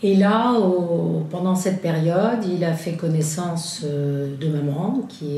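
This is a woman speaking. Room echo is audible. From France. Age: 70s. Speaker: witness, daughter of Italian father. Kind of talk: testimony. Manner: halting.

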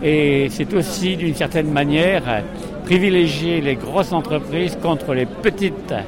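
A man talks at a fairly slow pace with a high pitch and ordinary pitch variation. Noticeable background noise and audible room echo fill the recording. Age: old. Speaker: retired sailor, protester. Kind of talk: street interview. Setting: outdoors at a street demonstration. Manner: formal.

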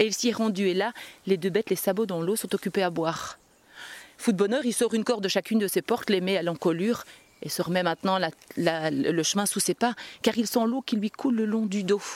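Dry and close with no echo, a woman's voice of medium pitch moves at a fairly quick pace with ordinary pitch variation. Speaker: storyteller. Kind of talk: live folk tale storytelling to an audience, narrative with voiced dialogue. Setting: stage with audience at a storytelling festival. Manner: animated, expressive, lively narration with character voices.

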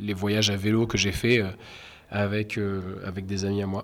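The man speaks at a fairly low pitch. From Normandy, Caen. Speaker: street artist. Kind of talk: interview. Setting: indoors in venue corridors. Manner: halting, many hesitations.

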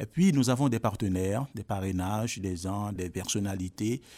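On a very clean recording with a silent background and a dry, close sound with no echo, a man with a fairly low pitch and a dark, mellow tone speaks at a moderate pace with ordinary pitch variation. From Haiti. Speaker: drama school director. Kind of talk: interview.

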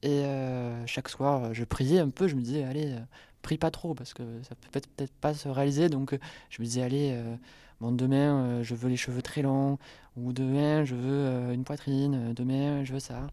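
A dark, mellow tone at a fairly slow pace, monotone and flat in intonation, with big swings in loudness and long, frequent pauses on a very clean recording with a silent background. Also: woman, very deep, low pitch for a woman. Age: 20s. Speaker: student. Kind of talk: testimony.

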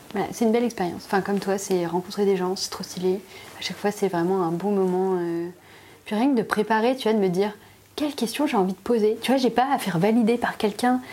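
At a very fast pace, a woman talks with a medium pitch and ordinary pitch variation. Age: 30s. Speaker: illustrator and graphic designer. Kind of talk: casual chat. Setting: at her home.

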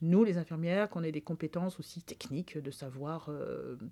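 A woman speaks with a dark, mellow tone and a fairly low pitch. Her intonation stays fairly even over a very clean recording with a silent background. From rural France. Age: 60s. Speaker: public health nurse. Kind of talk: interview testimony. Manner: halting, many fillers.

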